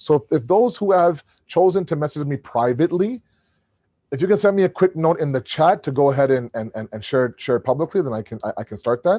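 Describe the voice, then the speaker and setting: A man talks at a very fast pace, fairly high in pitch, with very wide pitch swings and a dark, mellow tone. The sound is dry and close with no echo against a quiet background. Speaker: Islamic lecturer. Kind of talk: lecture with Q&A. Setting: video call. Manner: animated; stammering repetitions.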